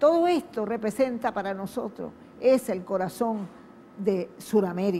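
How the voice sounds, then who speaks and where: A woman's fairly high, lively voice at a fairly slow pace. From western Venezuela, Wayuu people. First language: Wayuu (speaking Spanish). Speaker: TV host. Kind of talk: TV program introduction.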